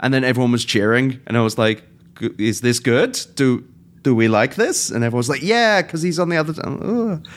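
A man with a British accent talks at a fairly quick pace, medium in pitch with lively intonation, on a very clean recording with a silent background. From England. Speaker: podcast host. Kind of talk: casual chat.

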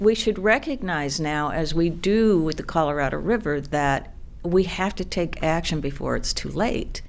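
A woman speaks with lively intonation at a fairly low pitch. Hers is an ordinary speaking voice. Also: moderate pace. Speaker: water policy expert. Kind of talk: interview.

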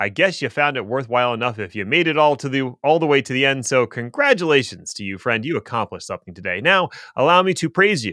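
The tone is bright and sharp, with vocal fry. The pace is fairly quick and the pitch swings very widely. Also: man. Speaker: tech podcast co-host. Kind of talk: casual chat.

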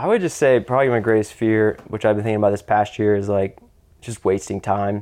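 A man with an ordinary speaking voice talks at a fairly quick pace and with fairly even intonation over a quiet background. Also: fairly low pitch for a man. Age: 30s. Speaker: coffee roaster. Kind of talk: casual interview.

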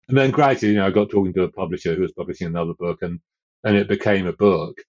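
A man talks at a very fast pace with a southern English accent. His pitch is fairly low. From southern England. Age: 60s. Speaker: author and fell runner. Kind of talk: casual interview.

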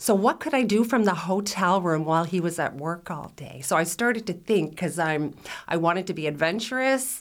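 With a plain, everyday voice at a fairly low pitch, a woman speaks at a moderate pace with lively intonation. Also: very clean recording, silent background. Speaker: restaurateur and food blogger. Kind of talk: casual interview.

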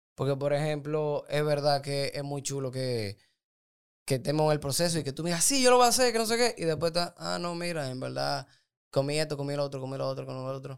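A man at a very fast pace with lively intonation, in a very clean recording with a silent background. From Dominican Republic, Santo Domingo. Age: 20s. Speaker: doctor and nutrition coach. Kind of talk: casual interview.

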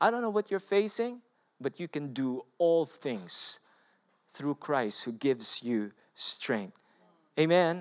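Very slowly, a man with a Filipino accent speaks at a fairly high pitch with very wide pitch swings and long, frequent pauses, the sound dry and close with no echo. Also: very clean recording, silent background. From Philippines. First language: Filipino language. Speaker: pastor. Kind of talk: sermon. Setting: church.

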